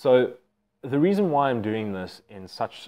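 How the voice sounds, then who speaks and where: A man's normal speaking voice at a moderate pace, with ordinary pitch variation. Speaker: educator. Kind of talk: casual vlog chat. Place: home room. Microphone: lapel.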